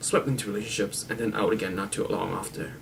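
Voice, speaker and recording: This is a man speaking. His pace is very fast. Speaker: amateur video blogger reading a book. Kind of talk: reading a crime novel aloud to camera.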